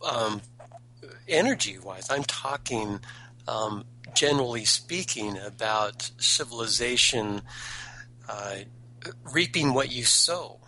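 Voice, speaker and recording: A man's medium-pitched voice at a very slow pace, with ordinary pitch variation, long and frequent pauses, and noticeable background noise. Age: 50s. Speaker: caller. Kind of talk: call-in talk radio debate. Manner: halting, repeats words.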